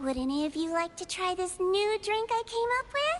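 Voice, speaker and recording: In a put-on character voice, a woman sounds upbeat and squeaky at an extremely high pitch, speaking at a moderate pace over clear background noise. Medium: video game. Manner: sweet, upbeat.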